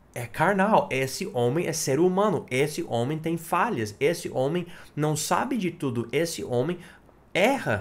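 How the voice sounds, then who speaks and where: In audible room echo, a man with a fairly high pitch talks at a fairly slow pace with very wide pitch swings. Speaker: pastor. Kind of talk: sermon. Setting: church.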